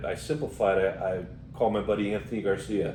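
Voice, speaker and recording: In an American accent, a man speaks with a fairly low pitch and a dark, mellow tone. Audible room echo surrounds his voice. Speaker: podcast co-host. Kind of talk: casual chat.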